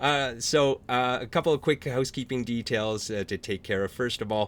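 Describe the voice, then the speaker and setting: Speaking with a Canadian accent in a plain, everyday voice, a man keeps a moderate pace and a medium pitch with ordinary pitch variation. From small-town French Canadian Canada. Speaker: author and panel moderator. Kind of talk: virtual panel moderation. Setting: Zoom video call.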